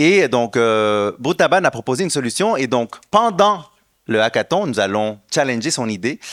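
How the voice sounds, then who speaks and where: With lively intonation, a man with a Quebec accent is heard in a dry, close sound with no echo on a very clean recording with a silent background. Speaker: education nonprofit founder. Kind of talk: conference presentation. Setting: stage with audience. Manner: hesitant, many fillers.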